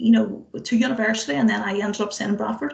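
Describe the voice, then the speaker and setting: A woman speaks in a Northern Irish accent. Her pace is fairly quick. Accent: Derry Northern Irish. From Northern Ireland, Derry. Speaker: tech engineering manager, speaker. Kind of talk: motivational talk. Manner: animated, conversational. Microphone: fragile internet connection.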